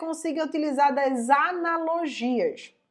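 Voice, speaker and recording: A woman's high-pitched voice. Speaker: online course teacher, science communicator. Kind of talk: online lesson. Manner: casual, uses slang.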